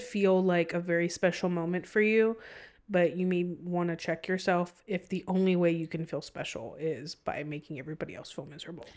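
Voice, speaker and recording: A woman with an American accent and an ordinary speaking voice, fairly low in pitch with fairly even intonation, on a very clean recording with a silent background. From San Antonio, Texas. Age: 20s. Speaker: wedding planner. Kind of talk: casual chat. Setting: studio.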